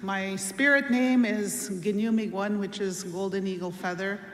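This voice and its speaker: With a Canadian accent, a woman speaks at a fairly slow pace and with fairly even intonation, amid noticeable background noise and audible room echo. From Wiikwemkoong, Manitoulin Island, Ontario. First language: Anishinaabemowin. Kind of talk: ceremonial greeting.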